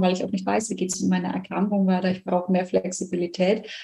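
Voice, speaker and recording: A woman talks at a medium pitch in a somewhat breathy voice. Her tone is dark and mellow. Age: 20s. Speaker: nurse and coach. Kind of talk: interview.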